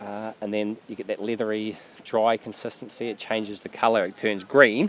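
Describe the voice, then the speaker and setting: Over noticeable background noise, a man with a New Zealand accent talks at a moderate pace in a fairly low, monotone voice with flat intonation. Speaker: seaweed harvester. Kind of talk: interview answer. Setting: outdoors.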